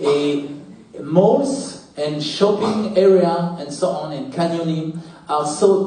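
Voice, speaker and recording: The speaker has a French accent and ordinary pitch variation. Noticeable background noise and audible room echo fill the recording. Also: man. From France. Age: 40s. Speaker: tech manager and startup founder. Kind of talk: personal story talk. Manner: halting, many fillers.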